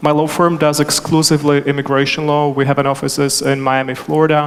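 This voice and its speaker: Fairly high in pitch, a man delivers his words in a monotone, flat intonation. He moves at a fairly quick pace over noticeable background noise. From Czechoslovakia. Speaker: immigration attorney, panel moderator. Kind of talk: panel discussion.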